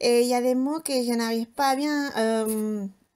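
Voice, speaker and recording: At a very slow pace, a woman speaks in a high pitch with fairly even intonation on a very clean recording with a silent background. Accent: Spanish. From Spain. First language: Spanish (speaking French). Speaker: homemaker vlogger. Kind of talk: casual vlog chat. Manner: hesitant, many fillers.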